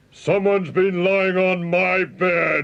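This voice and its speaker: A man puts on a character voice with a high pitch. He talks at a fairly slow pace. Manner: roaring.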